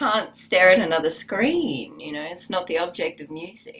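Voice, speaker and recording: A woman with a fairly low voice speaks fairly slowly, her pitch moving in an ordinary way. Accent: Australian. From Australia. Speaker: musician and yoga teacher. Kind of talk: interview. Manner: halting.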